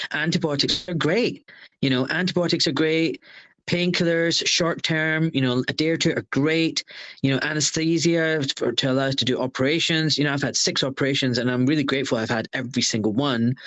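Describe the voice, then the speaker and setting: A fairly high-pitched man with a Glaswegian accent, at a fairly quick pace, with ordinary pitch variation and very even loudness. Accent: Glaswegian Scottish. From Scotland, Glasgow. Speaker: surgeon. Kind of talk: interview.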